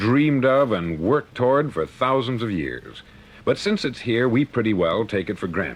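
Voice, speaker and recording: A man with an unremarkable speaking voice and an American accent talks at a moderate pace and medium pitch with lively intonation. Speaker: motivational speaker. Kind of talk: motivational spoken-word lecture, 1950s record. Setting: vintage studio recording. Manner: earnest, authoritative, measured.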